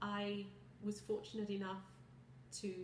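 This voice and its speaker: Someone with a British accent speaks at a fairly slow pace. Noticeable background noise and audible room echo are present. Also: woman. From southern England, Kent. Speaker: visually impaired product specialist. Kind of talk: personal testimony. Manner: articulate, some hesitations.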